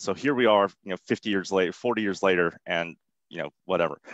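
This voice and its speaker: This man speaks at a moderate pace with ordinary pitch variation. The sound is dry, with no echo. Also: quiet background. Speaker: interviewee. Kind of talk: interview answer. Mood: relaxed, humorous. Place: home room. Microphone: headset.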